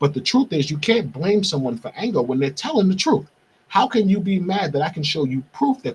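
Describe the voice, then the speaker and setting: A man with a New York accent speaks at a fairly quick pace, his pitch swinging very widely. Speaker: podcast host. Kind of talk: monologue. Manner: fast; animated.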